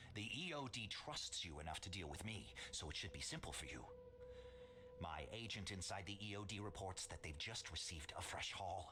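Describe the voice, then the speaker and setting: A man in a put-on character voice, over clear background noise. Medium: video game. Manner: measured, calculating.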